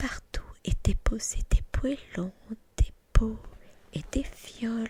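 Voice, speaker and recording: Speech comes at a very slow pace. Every word is whispered. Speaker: ASMR creator. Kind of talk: whispered ASMR book reading. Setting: home recording, studio microphone.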